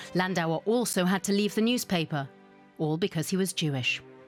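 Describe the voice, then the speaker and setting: A woman with a British accent at a fairly quick pace, ordinary pitch variation, and music in the background. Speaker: voice artist. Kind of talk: TV documentary narration.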